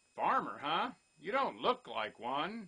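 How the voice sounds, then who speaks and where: A put-on character voice in a middle pitch swings very widely up and down. The pace is fairly slow. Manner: incredulous, teasing.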